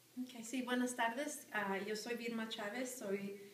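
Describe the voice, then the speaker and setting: A woman at a fairly slow pace, intonation fairly even, with audible room echo. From Arizona, Phoenix area (moved from Sinaloa, Mexico at 10). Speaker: high school teacher. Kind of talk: interview. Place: classroom. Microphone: camera far.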